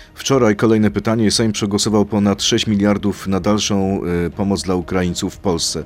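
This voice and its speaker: With an ordinary speaking voice, a man talks fairly quickly at a fairly low pitch, with very even loudness and hardly any pauses. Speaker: radio host. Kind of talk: radio interview.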